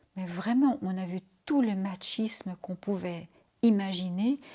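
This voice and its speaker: A woman's medium-pitched, somewhat breathy voice with a dark, mellow tone, fairly slow in pace and ordinary in pitch variation. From Belgium, Brussels. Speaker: interviewee recounting personal history. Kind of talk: interview testimony. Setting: home interview.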